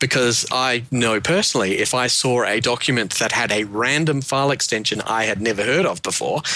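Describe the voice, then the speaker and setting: A man with a New Zealand accent talks at a medium pitch, keeping his loudness very even and hardly pausing at all. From Wellington, New Zealand. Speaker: panelist. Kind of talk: casual chat.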